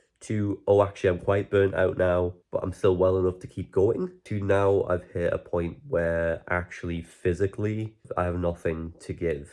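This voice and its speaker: A man with a Geordie accent speaks in a very deep, low voice with a dark, mellow tone, flat monotone intonation, hardly any pauses and a moderate pace against a quiet background. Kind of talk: casual talk to camera.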